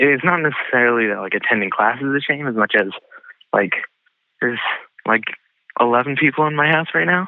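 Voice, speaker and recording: A man's fairly high-pitched voice, broken by long, frequent pauses. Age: 20s. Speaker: student. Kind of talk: casual chat.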